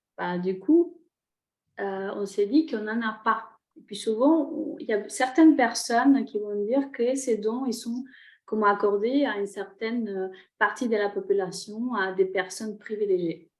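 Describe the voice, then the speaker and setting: A woman with a Spanish accent speaks at a fairly slow pace in a fairly high pitch. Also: ordinary pitch variation. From Chile. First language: Spanish (speaking French). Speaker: shaman and energy therapist. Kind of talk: online workshop talk. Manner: halting, many hesitations.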